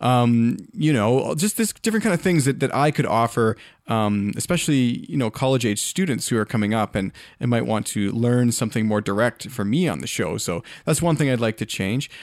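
A man talks in an ordinary speaking voice at a medium pitch, fairly quick and with lively intonation. The recording is very clean and the background silent. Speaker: podcast host. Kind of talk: podcast episode celebration, monologue. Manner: reflective, conversational.

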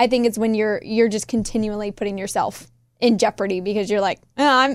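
Pitched fairly high, a woman with a normal speaking voice talks at a fairly quick pace with fairly even intonation. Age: 20s. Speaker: radio show staff member. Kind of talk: casual chat. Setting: studio.

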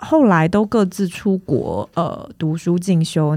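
A woman speaks fairly slowly at a medium pitch. Her tone is dark and mellow, with lively intonation. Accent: Taiwanese. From Taiwan, Tainan. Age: 30s. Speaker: film producer. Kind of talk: interview.

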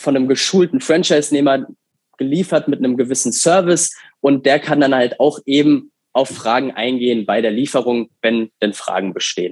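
With a fairly high pitch, a man speaks in an ordinary speaking voice, with ordinary pitch variation and very even loudness. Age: 20s. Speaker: franchise master licensee for pet food. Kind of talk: interview. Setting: video call.

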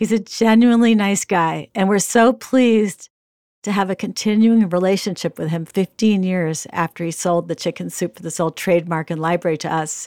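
A woman talks at a moderate pace in a normal speaking voice, at a medium pitch with ordinary pitch variation. The sound is dry and close, with no echo. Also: very clean recording, silent background. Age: 60s. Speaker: podcast host and editor. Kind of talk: interview.

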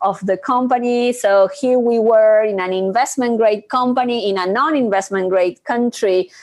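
A woman with a Spanish accent, speaking at a fairly slow pace, her intonation fairly even. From Argentina. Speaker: corporate treasury executive. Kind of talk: interview.

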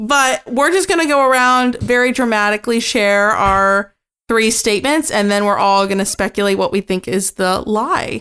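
Here is an ordinary speaking voice at a moderate pace with lively intonation. The recording is very clean, with a silent background. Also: woman. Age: 20s. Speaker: podcast co-host. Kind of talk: casual chat.

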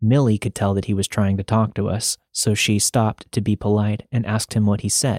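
Plain reading aloud plays against a quiet background.

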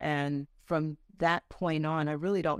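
A woman with an American accent speaks at a very deep, low pitch, the sound dry and close with no echo and the recording very clean with a silent background. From Delaware, US. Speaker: journalist and TV host. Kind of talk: interview.

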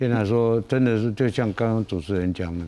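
Moderate pace, ordinary pitch variation and a fairly low pitch in a man's unremarkable speaking voice. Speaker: night market association chairman and borough chief. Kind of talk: panel discussion.

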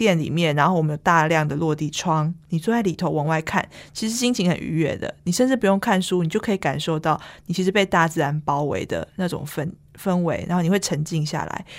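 A woman with a Taiwanese accent, fairly low pitch, ordinary pitch variation and a fairly quick pace, on a very clean recording with a silent background. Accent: Taiwanese Mandarin. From Taipei, Taiwan. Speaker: bookstore manager. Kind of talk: interview.

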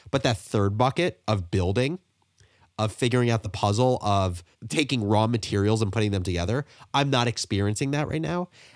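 A man with a normal speaking voice talks at a fairly quick pace and fairly low pitch with lively intonation, on a very clean recording with a silent background and a dry, close sound with no echo. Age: 20s. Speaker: entrepreneur. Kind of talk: interview.

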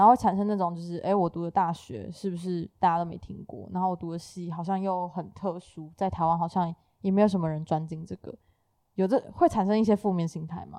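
Fairly quick speech comes from a woman with a fairly low pitch, a dark, mellow tone and fairly even intonation. Her loudness swings widely against a quiet background. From Taiwan. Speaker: podcast host. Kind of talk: casual chat.

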